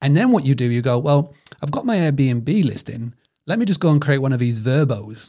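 A man speaks at a fairly quick pace with a British accent. His pitch sits fairly high. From United Kingdom. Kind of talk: casual interview chat.

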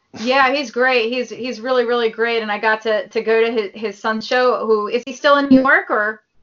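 A woman with a normal speaking voice talks at a fairly high pitch and fairly even intonation. She keeps a fairly quick pace with hardly any pauses. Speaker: actress and model. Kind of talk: casual chat. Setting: video call.

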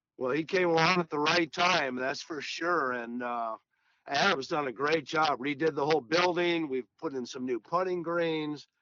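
Speaking in an unremarkable speaking voice, a man uses a fairly high pitch, a moderate pace and ordinary pitch variation. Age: 60s. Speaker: golf professional and teacher. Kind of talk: casual interview.

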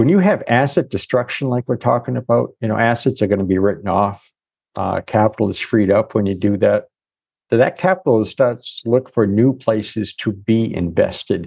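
An unremarkable speaking voice with ordinary pitch variation. It keeps a moderate pace against a quiet background. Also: man, medium pitch for a man. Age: 60s. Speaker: economist. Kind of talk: casual interview chat.

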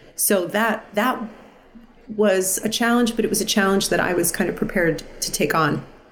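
Noticeable background noise and audible room echo fill the recording. The speaker keeps a moderate pace with ordinary pitch variation. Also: woman, medium pitch for a woman. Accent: American. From US Northeast (New York/New Jersey area). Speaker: musical theatre performer. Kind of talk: casual interview.

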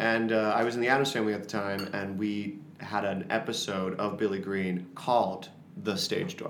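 With audible room echo and noticeable background noise, a man with an American accent speaks at a moderate pace in a fairly low pitch with fairly even intonation. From Florida. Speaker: musical theater actor. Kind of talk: casual interview.

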